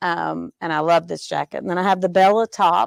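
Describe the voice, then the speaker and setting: A woman with a Southern accent speaks at a moderate pace in a dry, close sound with no echo. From US South, Georgia. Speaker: sewing student. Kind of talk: casual show-and-tell on a live stream. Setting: sewing studio, live show. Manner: hesitant, many fillers.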